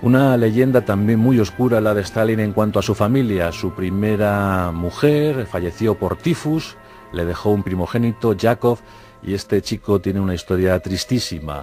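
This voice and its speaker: A man's fairly low voice over background music, with ordinary pitch variation. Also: moderate pace. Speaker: documentary narrator / radio-TV presenter. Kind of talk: historical documentary narration.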